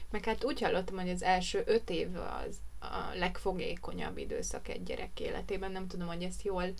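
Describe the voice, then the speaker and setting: A woman talks at a moderate pace with hardly any pauses. There is audible room echo. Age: 20s. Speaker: podcast co-host, florist. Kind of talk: casual chat.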